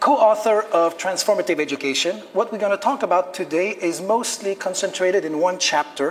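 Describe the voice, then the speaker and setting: A man with a Quebec accent speaks at a moderate pace and a high pitch. His intonation is lively, and there is noticeable background noise. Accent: French Canadian accent in English. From Quebec, Canada. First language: French. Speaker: teacher and lecturer. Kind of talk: lecture.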